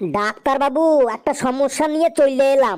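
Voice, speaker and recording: A woman does a cartoonish character voice at a high pitch, with ordinary pitch variation and a moderate pace. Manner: naive, earnest.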